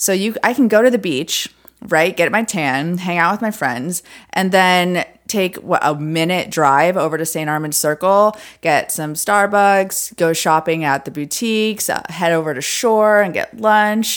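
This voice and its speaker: Recorded very cleanly against a silent background, a plain, everyday voice moves at a fairly slow pace with ordinary pitch variation. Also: woman, medium pitch for a woman. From Florida (moved from Detroit at ten). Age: 30s. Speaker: realtor. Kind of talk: casual interview. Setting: podcast studio.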